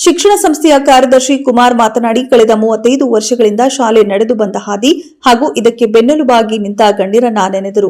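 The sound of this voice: Moving at a fairly quick pace with few pauses, a woman speaks with a fairly high pitch, ordinary pitch variation and a slightly mellow tone.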